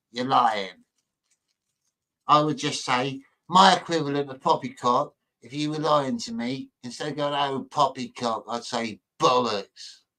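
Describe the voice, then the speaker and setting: A man talks at a fairly slow pace in a bright, sharp tone with a fairly high pitch. His intonation is lively, and his loudness swings widely. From northern England, Manchester. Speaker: livestream host chatting with viewers. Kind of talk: casual chat reading live chat messages.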